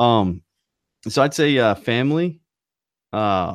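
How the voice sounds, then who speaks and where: A man with a slight Southern US accent speaks at a medium pitch with lively intonation, on a very clean recording with a silent background. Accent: slight Southern twang. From North Carolina. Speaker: podcast co-host. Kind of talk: casual chat.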